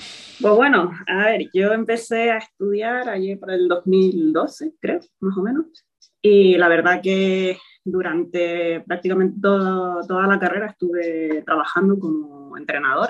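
An unremarkable speaking voice from a woman, medium in pitch, at a fairly slow pace with ordinary pitch variation. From Spain, Toledo. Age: 20s. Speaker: physiotherapist. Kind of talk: interview.

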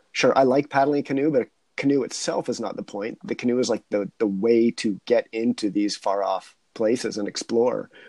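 At a moderate pace, a plain, everyday voice shows ordinary pitch variation with a dry, close sound and no echo. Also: man, medium pitch for a man. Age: 40s. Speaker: wildlife biologist and adventurer. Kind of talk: casual chat.

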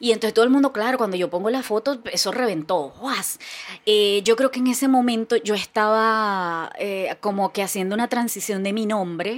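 Fairly high for a woman, her pitch shows ordinary variation at a moderate pace, in a plain, everyday voice. The recording is very clean with a silent background. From Venezuela, Barquisimeto. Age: 40s. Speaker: content creator and comedian. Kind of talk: casual interview chat.

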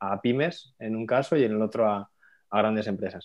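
A man speaks in an ordinary speaking voice, fairly low in pitch with fairly even intonation. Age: 30s. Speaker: finance educator and entrepreneur. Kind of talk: casual interview.

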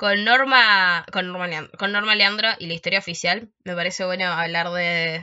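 A woman's ordinary speaking voice, medium in pitch, at a moderate pace with fairly even intonation and hardly any pauses. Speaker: podcast host. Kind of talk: casual chat.

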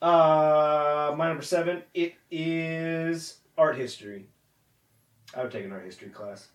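With a plain, everyday voice, a man talks at a fairly high pitch and a fairly slow pace, with big swings in loudness. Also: lively intonation. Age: 20s. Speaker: podcast co-host. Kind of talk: casual chat.

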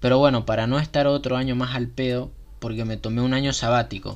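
Here a man uses a plain, everyday voice at medium pitch. He talks at a moderate pace with fairly even intonation. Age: 20s. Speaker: podcast host. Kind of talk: casual monologue.

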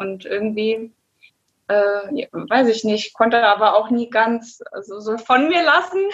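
At a fairly slow pace, an ordinary speaking voice talks with ordinary pitch variation. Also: woman, fairly high pitch for a woman. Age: 30s. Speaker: adult educator. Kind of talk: casual interview.

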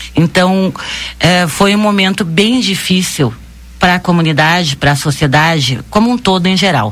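A somewhat breathy woman's voice at a moderate pace and very even loudness. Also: fairly low pitch for a woman, lively intonation. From southern Brazil, Rio Grande do Sul. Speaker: bank branch manager. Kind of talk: radio interview.

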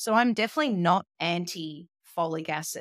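A woman with an Australian accent at a moderate pace, with ordinary pitch variation, in a very clean recording with a silent background and dry, close sound with no echo. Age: 40s. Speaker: molecular geneticist and nutritionist. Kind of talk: interview.

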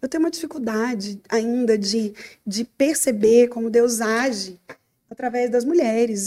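A woman's dark, mellow tone at a moderate pace. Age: 30s. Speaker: pastor and psychologist. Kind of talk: interview.

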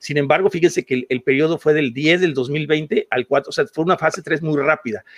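In an ordinary speaking voice, a man with a fairly high pitch talks at a fairly quick pace with hardly any pauses and ordinary pitch variation, in a dry, close sound with no echo. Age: 50s. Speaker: podcast co-host. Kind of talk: heated debate.

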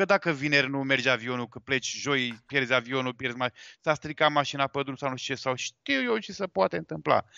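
A man talks at a fairly quick pace in an ordinary speaking voice, medium in pitch with ordinary pitch variation. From Galați, eastern Romania (Moldova region). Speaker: wedding photographer. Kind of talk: casual interview on live podcast.

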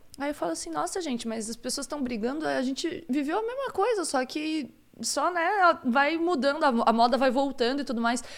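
A woman speaks at a moderate pace with hardly any pauses. Her intonation is lively and her pitch is high. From Santa Catarina, Brazil. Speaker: podcast co-host. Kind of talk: casual chat. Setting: live stream.

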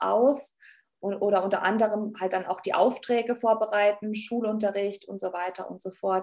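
Her pitch at a medium level, a woman speaks at a moderate pace with fairly even intonation. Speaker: nursing leadership trainer and speaker. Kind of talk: podcast interview.

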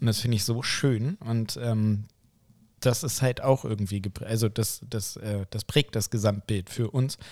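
Recorded dry and close with no echo and a silent background in a very clean recording, a man with a plain, everyday voice talks at a medium pitch and a fairly slow pace with ordinary pitch variation. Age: 30s. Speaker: anesthesia clinician and podcast co-host. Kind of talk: casual chat.

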